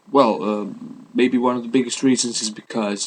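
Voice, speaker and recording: A man with a non-native accent, medium-pitched, fairly even intonation, noticeable background noise. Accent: non-native English speaker. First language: Italian. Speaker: vlogger and life coach. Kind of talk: casual vlog monologue. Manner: hesitant, many fillers.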